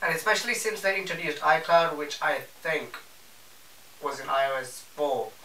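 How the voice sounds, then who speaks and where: A man is speaking with audible room echo. Noticeable background noise is present. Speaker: tech YouTuber. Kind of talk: casual video review. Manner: casual, self-correcting.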